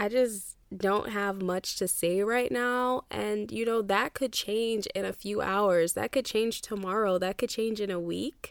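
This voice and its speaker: A woman with an ordinary speaking voice talks at a fairly slow pace and medium pitch, with ordinary pitch variation and hardly any pauses, in a very clean recording with a silent background. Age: 20s. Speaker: podcast host. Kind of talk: casual solo podcast monologue. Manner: casual, conversational.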